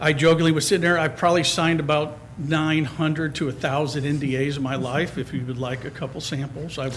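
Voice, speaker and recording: A man with a fairly high pitch and fairly even intonation speaks at a very fast pace, with audible room echo and noticeable background noise. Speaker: resident applying for committee. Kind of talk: public comment at council meeting. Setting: town council meeting. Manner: loud.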